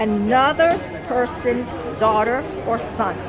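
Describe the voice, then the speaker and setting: A woman's voice with audible room echo and crowd noise in the background. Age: 40s. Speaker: vlogger. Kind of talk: casual vlog monologue. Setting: coffee shop.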